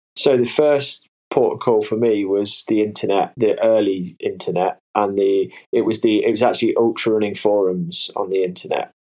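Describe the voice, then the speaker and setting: A man with an East Midlands accent talks at a moderate pace with hardly any pauses. His loudness stays very even. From English Midlands, Leicestershire. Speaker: sports scientist and hydration company founder. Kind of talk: interview conversation.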